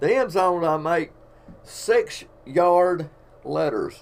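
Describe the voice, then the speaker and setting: A man speaks with an Alabama accent. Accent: Southern US (Alabama). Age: 60s. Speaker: painter of sports fields and artist. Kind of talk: casual storytelling live stream. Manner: casual, folksy.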